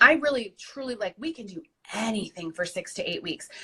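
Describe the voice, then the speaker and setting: A woman speaks with a Michigan accent at a moderate pace. Her intonation is lively. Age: 30s. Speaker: weight loss success story guest. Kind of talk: interview, personal testimony.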